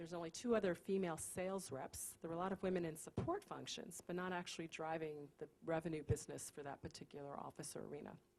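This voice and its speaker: Someone speaks very fast in an American accent, with ordinary pitch variation. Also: woman. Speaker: company CEO. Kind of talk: panel discussion.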